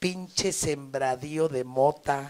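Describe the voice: At a slow pace, a man speaks at a medium pitch with ordinary pitch variation and a slightly mellow tone.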